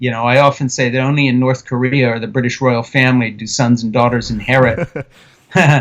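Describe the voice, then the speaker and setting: A man speaks with an American accent in a plain, everyday voice. His pitch is medium and his intonation fairly even. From Switzerland, at an American missionary community. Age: 60s. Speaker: author and film director. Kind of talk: interview.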